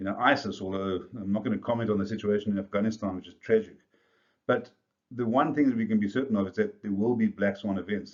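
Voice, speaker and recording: Speaking at a very fast pace in a South African accent, a man keeps his fairly low pitch on a fairly even intonation. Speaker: business coach. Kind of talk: video presentation to business leaders.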